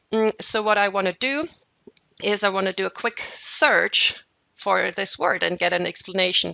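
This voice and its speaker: A woman talks with a German accent at a medium pitch. Her pace is fairly slow, with ordinary pitch variation. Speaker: software trainer. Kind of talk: software tutorial webinar. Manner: hesitant, with fillers and repeats.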